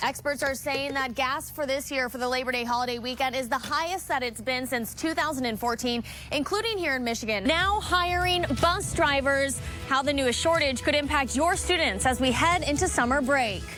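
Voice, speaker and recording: With music in the background, a woman uses a raised, projected voice, a high pitch, a moderate pace and ordinary pitch variation, with hardly any pauses. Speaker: TV news reporter. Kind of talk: TV news reporting. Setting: outdoors on location.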